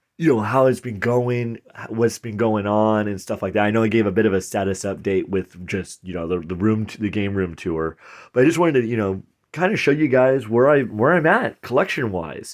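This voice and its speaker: Fairly low-pitched male speech with lively intonation at a fairly quick pace, on a very clean recording with a silent background. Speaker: game collector youtuber. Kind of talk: casual chat. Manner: soft-spoken.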